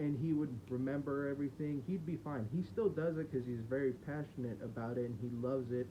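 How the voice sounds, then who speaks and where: A man with a medium-pitched, somewhat breathy voice speaks at a fairly quick pace with hardly any pauses and ordinary pitch variation. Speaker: self-improvement vlogger. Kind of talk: casual motivational monologue. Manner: halting. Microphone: no mic, poor audio.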